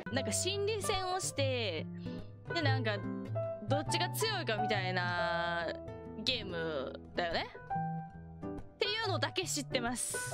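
A woman speaks very slowly, her sound dry with no echo, over loud background noise. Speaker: virtual streamer. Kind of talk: casual gaming livestream commentary. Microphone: studio mic.

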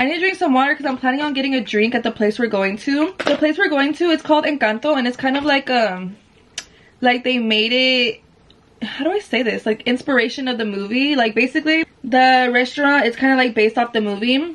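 A woman speaks fairly quickly in a high voice. Her pitch varies in an ordinary way. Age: 20s. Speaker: vlogger. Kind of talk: casual vlog talk. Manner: animated. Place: home room.

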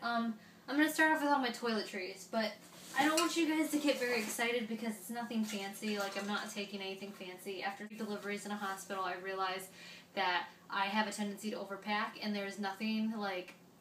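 Light background noise and audible room echo are both present here. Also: woman. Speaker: parenting vlogger. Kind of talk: casual vlog chat. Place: home room. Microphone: camera far.

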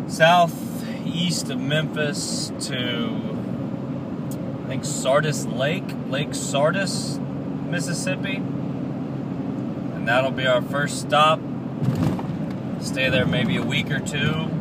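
Amid loud background noise yet with a dry sound and no echo, a man speaks at a very slow pace with long, frequent pauses and ordinary pitch variation. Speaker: travel vlogger. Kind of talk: casual vlog chat. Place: car. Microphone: phone near.

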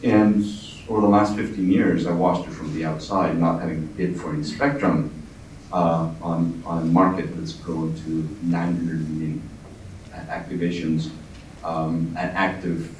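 Amid audible room echo and light background noise, a man with a very deep, low voice speaks at a fairly slow pace with ordinary pitch variation. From northern Alberta, Canada. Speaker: tech company CEO; speaker. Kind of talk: keynote talk. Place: meeting room.

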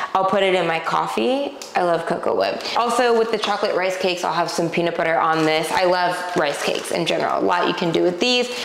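A woman at a fairly quick pace with ordinary pitch variation, audible room echo, and light background noise. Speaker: grocery haul host. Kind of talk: casual vlog chat. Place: kitchen. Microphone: lapel.

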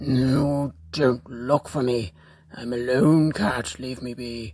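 This is a put-on character voice pitched low to middle. It moves at a very slow pace. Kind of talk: comic pet voice-over. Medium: fan dub.

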